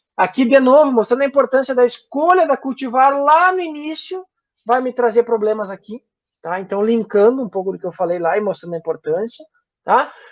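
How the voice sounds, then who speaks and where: Recorded dry and close with no echo, a man speaks fairly quickly at an extremely high pitch, with lively intonation and big swings in loudness. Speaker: guest lecturer on plant disease. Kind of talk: online lecture. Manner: halting, many fillers.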